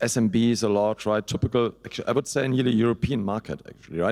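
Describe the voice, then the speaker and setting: A man with a German accent talks at a very fast pace with fairly even intonation. The sound is dry and close, with no echo. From Germany. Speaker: hosting company CEO. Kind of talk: panel discussion.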